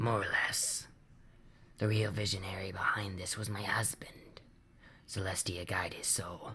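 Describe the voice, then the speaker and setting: A put-on character voice, whispering, raspy, hoarse and wheezy, at a moderate pace with long, frequent pauses. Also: man. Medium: read story. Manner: slow, dry humor.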